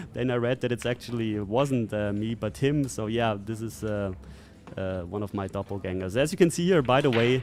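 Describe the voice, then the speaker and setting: At a fairly quick pace, a man speaks with medium pitch and ordinary pitch variation. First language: not English. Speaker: pool player and commentator. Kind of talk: match commentary. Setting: live stream. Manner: hesitant, many fillers.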